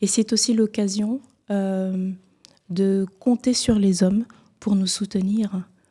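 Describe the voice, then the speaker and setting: Very slowly and with long, frequent pauses, a woman with a Cameroonian accent speaks in a monotone, flat voice of medium pitch that is somewhat breathy, dark and mellow in tone. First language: Bulu (speaking French). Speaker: singer. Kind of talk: TV interview.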